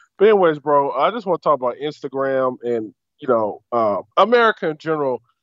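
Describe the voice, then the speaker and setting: Lively intonation and a fairly high pitch from a man talking at a moderate pace. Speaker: caller. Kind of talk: casual chat. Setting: phone call. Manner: loud.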